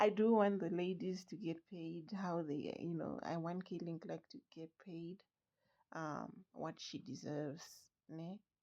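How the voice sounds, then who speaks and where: A woman with a non-native accent speaks in a fairly low pitch and a dark, mellow tone, her pitch varying in an ordinary way while her loudness swings widely. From outside the US. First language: not English. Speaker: sports fan vlogger. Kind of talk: casual commentary vlog. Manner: halting, many fillers.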